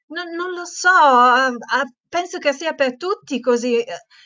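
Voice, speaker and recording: Over a quiet background, a woman with a high voice speaks at a very slow pace. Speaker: teacher leading a webinar for teachers; teacher trainer hosting webinar. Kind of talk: webinar presentation. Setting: online webinar. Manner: hesitant, many fillers. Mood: warm, friendly. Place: home room. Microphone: earbuds.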